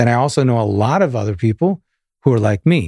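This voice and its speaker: A somewhat breathy man with a New York accent, medium pitch, lively intonation and a fairly quick pace, in a dry, close sound with no echo. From Long Island, New York. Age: 50s. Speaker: guitarist and music director. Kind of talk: casual interview chat.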